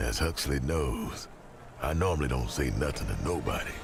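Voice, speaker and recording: A man drawls in a put-on character voice with a very deep, low pitch at a moderate pace. Clear background noise runs underneath. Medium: video game. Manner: streetwise, ungrammatical drawl.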